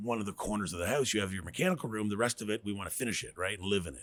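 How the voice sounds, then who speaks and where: A man's fairly low voice with a Canadian accent. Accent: Canadian, noticeable to Americans ("abouts"). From New Brunswick, Canada (Riverview). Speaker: radon mitigation business owner. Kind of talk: casual interview chat. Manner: fast, with repetitions and self-corrections.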